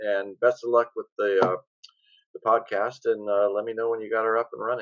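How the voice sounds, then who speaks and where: With an American accent and medium pitch, a man talks at a very fast pace. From US Pacific Northwest, Olympia, Washington. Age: 60s. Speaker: screenwriter. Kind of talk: podcast interview. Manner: animated.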